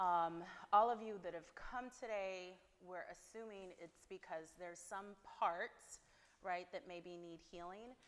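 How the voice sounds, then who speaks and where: A woman's normal speaking voice, medium in pitch, fairly slow, with fairly even intonation. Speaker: therapist leading a women's workshop. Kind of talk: workshop talk to attendees. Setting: venue with live audience. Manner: casual, filler-heavy.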